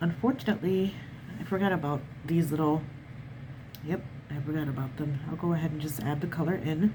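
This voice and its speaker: With a very deep, low pitch and ordinary pitch variation, a woman talks at a fairly quick pace broken by long, frequent pauses. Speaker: watercolor artist. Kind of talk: art tutorial narration.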